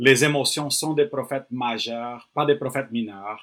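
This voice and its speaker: On a very clean recording with a silent background, a man with a plain, everyday voice speaks fairly slowly with fairly even intonation. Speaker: pastor and missionary. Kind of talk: podcast conversation.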